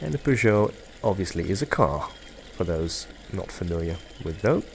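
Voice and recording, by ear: Here a man talks with a low pitch and vocal fry. His intonation is lively and his pace moderate.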